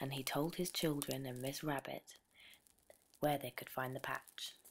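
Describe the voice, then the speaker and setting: A soft-spoken whisper at a fairly slow pace. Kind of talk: sleep story, storytelling read aloud. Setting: over crackling campfire background sound. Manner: soft-spoken, whispery.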